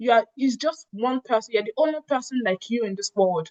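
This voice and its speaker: At a moderate pace, a woman speaks at a fairly high pitch with ordinary pitch variation in a dry, close sound with no echo. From Nigeria. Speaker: revenue analyst and immigrant advocate. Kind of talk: interview.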